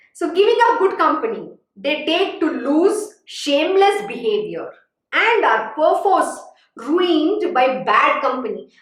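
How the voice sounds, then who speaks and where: In a room with audible echo, a woman talks fairly slowly in an animated tone, her extremely high pitch swinging very widely. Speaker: spiritual teacher. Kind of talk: religious discourse.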